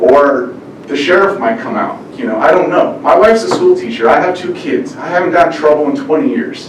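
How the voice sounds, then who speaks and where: Speaking fairly quickly with an American accent, a man with a high pitch makes very wide pitch swings, recorded with audible room echo and noticeable background noise. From California, Bakersfield. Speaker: farmer. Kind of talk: public comment at meeting.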